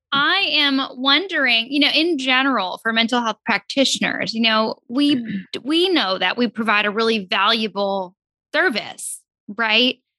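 A woman with an ordinary speaking voice, fairly high in pitch, talks fairly slowly with lively intonation and very even loudness, in a dry, close sound with no echo on a very clean recording with a silent background. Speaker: counselor co-host. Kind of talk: podcast interview.

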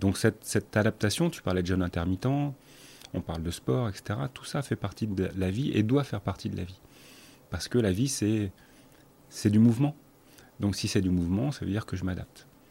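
This man has a fairly low pitch and a dark, mellow tone, with lively intonation. He keeps a moderate pace but leaves long, frequent pauses. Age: 50s. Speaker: breathing instructor and academy founder. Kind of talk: casual chat. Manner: halting.

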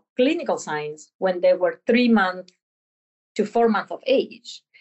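A woman's fairly high voice in a Spanish accent, with lively intonation. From Argentina. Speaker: veterinary professor. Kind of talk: interview.

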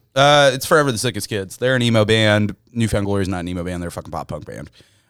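A man's fairly low-pitched voice at a very fast pace, with ordinary pitch variation, on a very clean recording with a silent background. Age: 20s. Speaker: music fan podcast guest. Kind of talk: casual chat.

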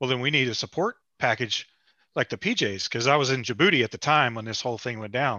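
In a plain, everyday voice with an American accent, the speaker moves at a fairly quick pace with ordinary pitch variation. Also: man. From West Virginia. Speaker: podcast co-host, active duty sailor. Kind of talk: casual chat.

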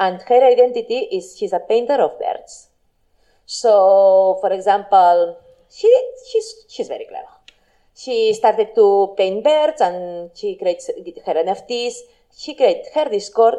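A woman talks in a Catalan accent. Her pace is fairly slow. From Spain, Barcelona. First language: Spanish or Catalan. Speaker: blockchain marketing entrepreneur. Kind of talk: talk with Q&A.

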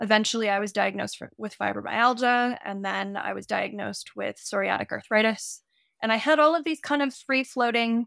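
Someone with an American accent talks at a fairly quick pace, the sound dry and close with no echo on a very clean recording with a silent background. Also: woman. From California. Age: 20s. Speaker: horse trainer. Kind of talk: interview.

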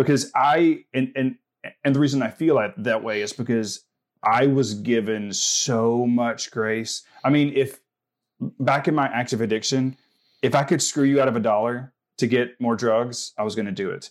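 In a very clean recording with a silent background, a man speaks with a Southern US accent. His pitch is medium and his pace moderate. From US South. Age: 40s. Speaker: mental health advocate. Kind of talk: casual interview. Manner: animated.

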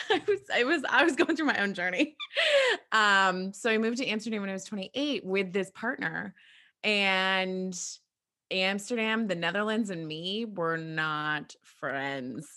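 With a bright, sharp tone, a woman speaks in a medium pitch with lively intonation at a fairly slow pace. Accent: American. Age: 30s. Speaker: podcast host. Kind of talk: casual chat.

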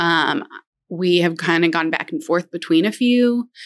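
A woman talks fairly slowly in a normal speaking voice, fairly low in pitch with ordinary pitch variation. The recording is very clean, with a silent background. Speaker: elementary school counselor, cancer survivor. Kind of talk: casual interview, personal testimony.

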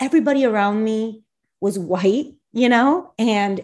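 Speaking at a very slow pace, this voice has an American accent and lively intonation. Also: woman. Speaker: podcast co-host. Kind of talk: casual chat.

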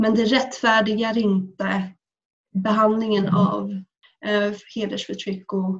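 The voice is a woman's, somewhat breathy. Her intonation is monotone and flat. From Sweden. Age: 20s. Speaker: student and activist. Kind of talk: personal testimony. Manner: halting.

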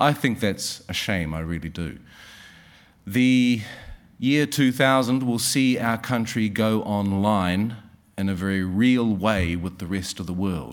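In a New Zealand accent, a man speaks at a very slow pace with a fairly low pitch and ordinary pitch variation. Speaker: session chair. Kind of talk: formal introduction and thanks speech. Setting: stage with audience.

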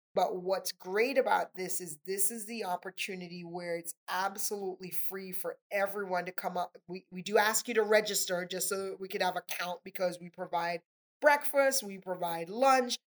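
A moderate pace with hardly any pauses, a slight Trinidadian accent, ordinary pitch variation and big swings in loudness. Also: woman, medium pitch for a woman, dry, close sound with no echo. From Trinidad and Tobago. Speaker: nonprofit area director. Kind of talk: casual interview conversation.

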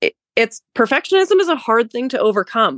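With very wide pitch swings and an American accent, the speech moves at a moderate pace with a dry, close sound and no echo. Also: woman. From New Hampshire, US. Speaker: former show jumper, real estate broker. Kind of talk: casual interview chat.

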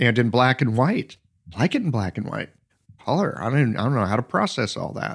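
A normal speaking voice, lively in intonation and fairly quick in pace. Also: man, medium pitch for a man. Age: 60s. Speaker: podcast host, acupuncturist. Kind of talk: casual chat.

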